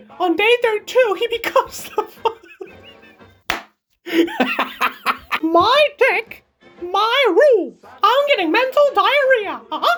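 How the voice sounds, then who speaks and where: A put-on character voice moves at a very slow pace. Long pauses come often. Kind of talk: comedic meme dub. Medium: dub.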